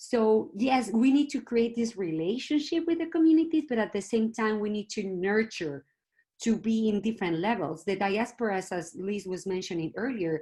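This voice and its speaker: A woman's somewhat breathy voice, dark and mellow in tone, with very wide pitch swings. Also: fairly high pitch for a woman, moderate pace. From Mexico City. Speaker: museum consultant. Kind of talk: panel discussion.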